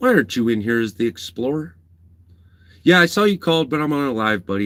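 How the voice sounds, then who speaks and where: A man speaks loudly at a very fast pace, his pitch swinging very widely. The recording is very clean, with a silent background. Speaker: livestreamer. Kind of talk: live stream chat.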